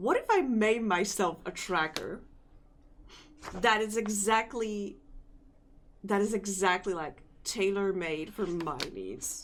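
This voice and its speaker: Very slow speech from a woman, broken by frequent long pauses. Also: medium pitch for a woman, ordinary pitch variation. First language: not English. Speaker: vtuber and Live2D rigger streamer. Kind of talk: casual live stream chat. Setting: live stream. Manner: hesitant, searching for words.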